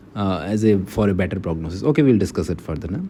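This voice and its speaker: With an Indian accent, a man talks at a very fast pace in a dark, mellow tone with lively intonation. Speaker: medical lecturer. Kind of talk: lecture. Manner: halting.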